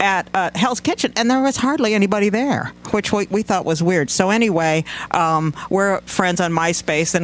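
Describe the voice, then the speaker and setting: A man with an American accent at a moderate pace, with ordinary pitch variation and noticeable background noise. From Tacoma area, Washington. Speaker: rock band member. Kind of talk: casual chat.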